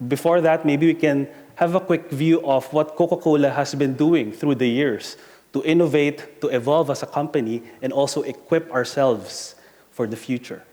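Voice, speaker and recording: Someone with an Asian accent speaks at a moderate pace in a dark, mellow tone with ordinary pitch variation. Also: man, fairly high pitch for a man. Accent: Asian accent, noticeable. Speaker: corporate talent and employer brand director. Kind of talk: conference presentation.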